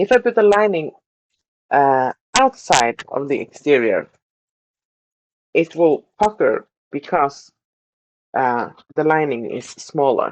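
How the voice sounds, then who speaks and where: Speaking with a non-native accent, a woman uses a very deep, low pitch, very wide pitch swings, a very slow pace and long, frequent pauses, captured with a dry, close sound and no echo. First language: not English. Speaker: sewing tutorial creator. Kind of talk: tutorial. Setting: sewing room. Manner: hesitant, many fillers.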